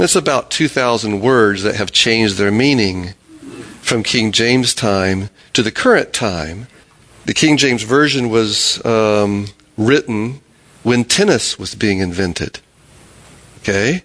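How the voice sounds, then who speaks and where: A man at medium pitch and a fairly slow pace, with long, frequent pauses, ordinary pitch variation, and noticeable background noise. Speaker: Bible study teacher. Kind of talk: Bible study discussion. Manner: halting.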